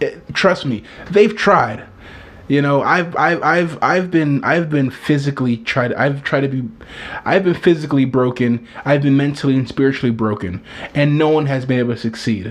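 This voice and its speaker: A man with a fairly high voice talks at a moderate pace in an animated tone, his pitch varying an ordinary amount, over noticeable background noise. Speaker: video blogger. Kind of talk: casual monologue.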